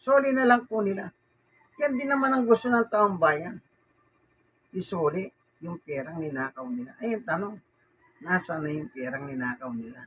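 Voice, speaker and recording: A man at a high pitch with very wide pitch swings, big swings in loudness, a moderate pace and long, frequent pauses. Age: 60s. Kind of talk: casual bible talk and news commentary. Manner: halting.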